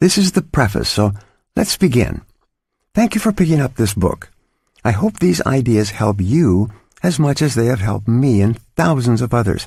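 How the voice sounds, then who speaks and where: In a very clean recording with a silent background, a man with a medium pitch sounds somewhat breathy at a moderate pace. His pitch swings very widely while his loudness stays very even. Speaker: audiobook author-narrator. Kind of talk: audiobook narration, self-help.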